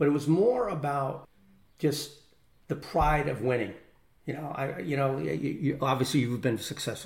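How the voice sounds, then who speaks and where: In an American accent, a man with a fairly high pitch and a somewhat breathy voice speaks with ordinary pitch variation and long, frequent pauses. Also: moderate pace. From Connecticut, US. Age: 60s. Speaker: retired corporate executive and business owner. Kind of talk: casual interview, personal storytelling.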